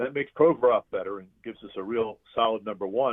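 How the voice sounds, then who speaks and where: The delivery comes at a fairly quick pace in an unremarkable speaking voice. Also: man. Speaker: arena public address announcer. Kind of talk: interview answer, casual conversation about hockey. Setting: phone line.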